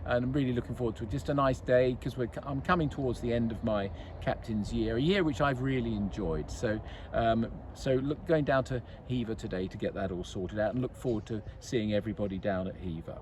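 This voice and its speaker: Somewhat breathy, a man at a medium pitch speaks at a fairly quick pace with lively intonation. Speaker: golf club captain. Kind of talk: casual club update. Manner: halting.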